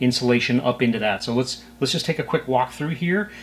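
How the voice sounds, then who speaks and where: Ordinary pitch variation at a fairly quick pace. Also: man. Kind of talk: tutorial. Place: home room. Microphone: camera far.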